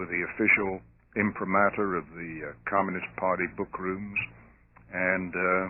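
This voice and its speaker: A man with a non-native accent speaks with a very deep, low pitch. His pace is moderate and his intonation fairly even. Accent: noticeable foreign accent (non-American). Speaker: theologian and lecturer on communism. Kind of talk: radio interview.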